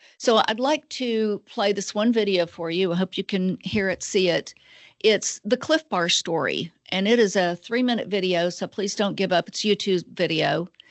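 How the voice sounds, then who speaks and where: A woman with an American accent talks at a moderate pace in a plain, everyday voice. Her pitch is medium, with ordinary variation. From Georgia, US. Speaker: nonprofit executive director. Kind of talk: webinar presentation. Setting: video webinar.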